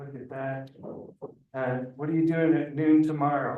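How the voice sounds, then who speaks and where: Amid audible room echo, a man holds a medium pitch and fairly even intonation at a moderate pace. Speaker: city liaison giving community updates. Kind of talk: public meeting updates. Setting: neighborhood council meeting.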